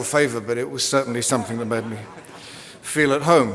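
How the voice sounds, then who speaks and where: With an English accent, a man speaks at a fairly quick pace amid noticeable background noise and audible room echo. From England. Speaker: commencement speaker, professor. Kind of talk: commencement speech. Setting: arena with audience.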